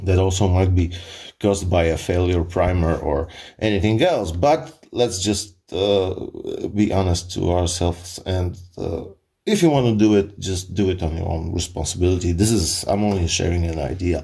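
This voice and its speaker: A man's somewhat breathy voice, very deep and low in pitch, with a dark, mellow tone at a moderate pace. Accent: Polish. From Poland. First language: Polish. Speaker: firearms hobbyist. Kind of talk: tutorial. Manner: halting.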